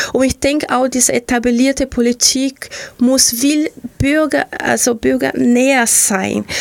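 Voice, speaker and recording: A high-pitched woman with a Portuguese accent at a fairly slow pace, very even in loudness, over noticeable background noise. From Brazil, Rio de Janeiro. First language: Portuguese (speaking German). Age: 40s. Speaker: local politician. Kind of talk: radio interview. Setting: radio studio. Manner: animated.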